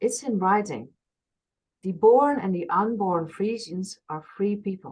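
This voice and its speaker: Somewhat breathy, a woman talks at a fairly slow pace. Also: medium pitch for a woman, ordinary pitch variation. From Friesland, northern Netherlands. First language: Frisian. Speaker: workshop organizer. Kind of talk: interview. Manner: halting.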